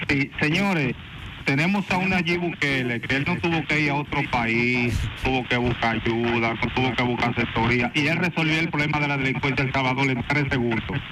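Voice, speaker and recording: Against noticeable background noise, a man with a fairly high pitch talks at a moderate pace, with ordinary pitch variation and very even loudness. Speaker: caller. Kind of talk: call-in opinion. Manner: animated.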